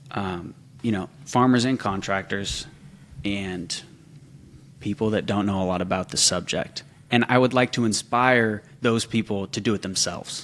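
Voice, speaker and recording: This man has a normal speaking voice with a fairly low pitch and an American accent, talking at a moderate pace with fairly even intonation. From California, San Francisco Bay Area. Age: 20s. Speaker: social media content creator for a farm equipment brand. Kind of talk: casual podcast interview.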